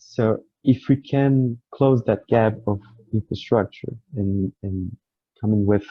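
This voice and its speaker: This man has a Portuguese accent and a fairly low pitch. His voice is somewhat breathy, with ordinary pitch variation. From Brazil. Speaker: researcher panelist. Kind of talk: panel discussion.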